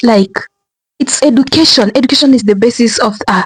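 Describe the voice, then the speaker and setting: Speaking with a Kenyan accent, a woman keeps a fairly quick pace and ordinary pitch variation. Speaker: commentary vlogger. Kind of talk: casual vlog commentary. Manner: halting, many restarts.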